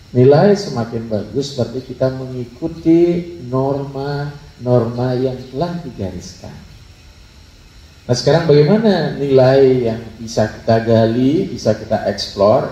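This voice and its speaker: Lively intonation marks this man's medium-pitched voice. He speaks at a fairly slow pace. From Bali, Denpasar. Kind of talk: religious talk.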